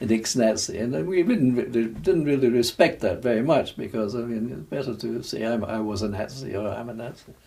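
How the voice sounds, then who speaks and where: Speaking at a moderate pace, a man with a medium pitch has a dark, mellow tone and vocal fry. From Britain. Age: 80s+. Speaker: war veteran. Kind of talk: interview answer. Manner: hesitant, with many fillers.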